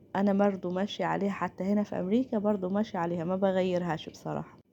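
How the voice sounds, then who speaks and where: Recorded very cleanly against a silent background, a woman's dark, mellow voice sits at a medium pitch with fairly even intonation. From Upper Egypt. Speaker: cooking channel host. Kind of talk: cooking tutorial.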